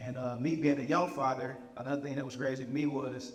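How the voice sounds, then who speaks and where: A man with a medium pitch speaks at a fairly quick pace in a monotone, flat delivery. Audible room echo and noticeable background noise surround his voice. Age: 20s. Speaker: motivational speaker, young father and author. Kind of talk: inspirational talk.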